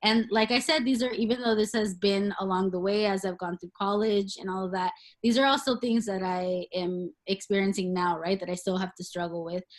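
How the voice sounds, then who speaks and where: A woman's medium-pitched voice with a Spanish accent, ordinary pitch variation, a fairly quick pace and hardly any pauses. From US, child of Mexican migrants. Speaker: professor. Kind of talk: workshop presentation. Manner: hesitant, many fillers.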